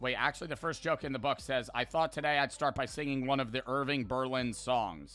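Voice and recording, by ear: In a natural voice, the text is read aloud with intonation that stays fairly level.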